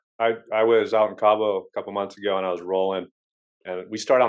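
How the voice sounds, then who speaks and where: Fairly low in pitch, this man has a plain, everyday voice. He talks at a fairly quick pace. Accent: American. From Southern California. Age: 40s. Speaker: podcast host. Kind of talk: casual chat.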